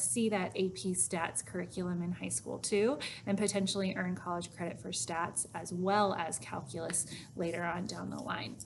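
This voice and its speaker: Moving at a moderate pace, this woman has an ordinary speaking voice. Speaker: high school math teacher. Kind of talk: recorded informational talk to students.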